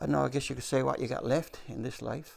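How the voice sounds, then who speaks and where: A man with a Newfoundland accent talks with vocal fry and very wide pitch swings. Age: 70s. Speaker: retired retail worker. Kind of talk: news interview.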